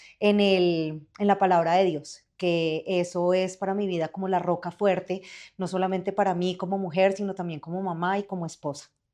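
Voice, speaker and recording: The woman's voice sits at a medium pitch with monotone, flat intonation. She keeps a moderate pace against a quiet background. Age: 40s. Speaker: journalist and adoptive mother. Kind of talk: interview testimony.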